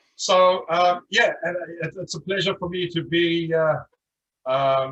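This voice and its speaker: A man with a South African accent, his tone bright and sharp, his intonation fairly even. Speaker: insurance agent. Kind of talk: testimony.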